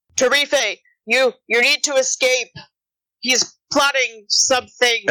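The voice sounds female and is high-pitched. It is a put-on character voice. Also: fairly slow pace. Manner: urgent, in character.

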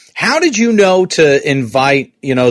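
This voice has a New York accent. The intonation is lively. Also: man. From US Northeast, New York.

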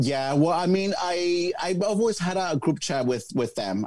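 A man's voice with very wide pitch swings and music in the background. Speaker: drag queen. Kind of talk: casual interview chat.

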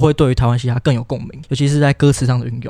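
This man has a dark, mellow tone at a medium pitch. His intonation stays fairly even. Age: young. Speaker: podcast guest, young hip hop fan. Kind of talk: casual chat.

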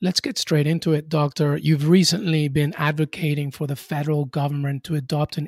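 In a dry, close recording with no echo, a man talks with fairly even intonation in a fairly high, somewhat breathy voice. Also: very clean recording, silent background. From Peru. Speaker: sports podcast host. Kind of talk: interview.

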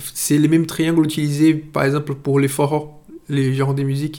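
A man with a Portuguese accent, a fairly high pitch and monotone, flat intonation. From Brazil, Itabuna. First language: Portuguese (speaking French). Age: 30s. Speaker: interviewee sharing food memories. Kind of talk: personal storytelling. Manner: halting, many hesitations.

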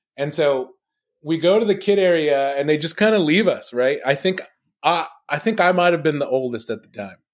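An ordinary speaking voice from a man with an American accent, fairly high in pitch, lively in intonation and fairly quick in pace, on a very clean recording with a silent background. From Los Angeles. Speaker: stand-up comedian. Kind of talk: casual chat.

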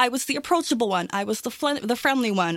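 A woman speaks in a normal speaking voice at a fairly quick pace. Her pitch varies in an ordinary way, and the recording is very clean with a silent background. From Toronto, Canada. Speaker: tabletop game player. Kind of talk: casual discussion.

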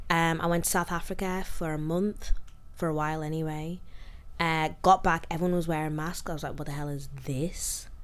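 Her fairly low pitch stays monotone and flat as the woman talks amid audible room echo. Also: fairly quick pace. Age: 20s. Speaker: podcaster and guest. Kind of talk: casual chat.

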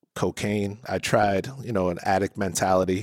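With an American accent, a man uses a normal speaking voice at a fairly low pitch and a fairly slow pace. The sound is dry and close, with no echo. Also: very clean recording, silent background. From New Jersey. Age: 30s. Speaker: recovering addict sharing faith testimony. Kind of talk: testimony.

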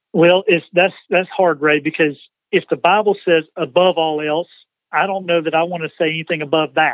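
The speaker uses a Southern US accent and keeps a moderate pace. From US South, Georgia. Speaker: nonprofit CEO, former car dealership president. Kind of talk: interview.

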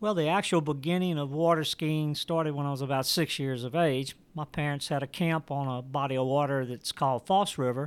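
Speaking with an unremarkable speaking voice, a man at a fairly high pitch talks at a fairly quick pace with hardly any pauses and fairly even intonation on a very clean recording with a silent background. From Louisiana, US. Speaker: water ski coach and event organizer. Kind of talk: interview. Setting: in person. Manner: repetitive false starts.

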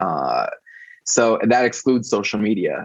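A man speaks in an ordinary speaking voice. It is medium in pitch, with ordinary variation. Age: 30s. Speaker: fan site founder and advocate. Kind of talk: interview.

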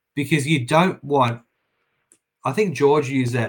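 This voice carries an Australian accent. It moves at a moderate speed. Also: man. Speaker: property and house building expert. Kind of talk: interview.

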